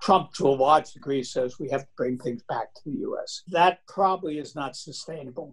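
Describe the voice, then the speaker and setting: With an American accent, a man speaks at a moderate pace in a somewhat breathy, fairly high-pitched voice with ordinary pitch variation. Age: 80s+. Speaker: computer scientist, professor. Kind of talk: interview answer.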